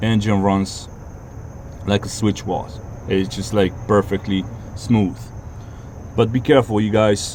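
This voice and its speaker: A man speaks at a fairly low pitch with fairly even intonation and long, frequent pauses. Noticeable background noise sits under the recording. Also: fairly slow pace. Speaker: car owner making a DIY repair video. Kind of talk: casual tutorial. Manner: halting, self-described stuttering.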